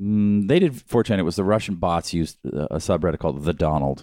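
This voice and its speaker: A man's very deep, low voice with vocal fry and lively intonation at a very fast pace. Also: very clean recording, silent background. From Japan. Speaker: podcast guest. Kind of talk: casual chat.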